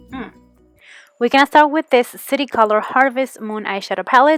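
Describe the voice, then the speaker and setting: A woman with a normal speaking voice at a moderate pace, ordinary pitch variation, dry, close sound with no echo. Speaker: beauty vlogger. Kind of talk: makeup tutorial.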